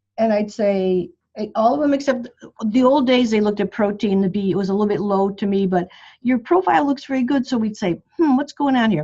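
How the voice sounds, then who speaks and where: Somewhat breathy and dark, mellow in tone, a woman's fairly high voice moves at a fairly quick pace with lively intonation. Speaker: bone health doctor. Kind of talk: group coaching call. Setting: phone call. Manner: fast.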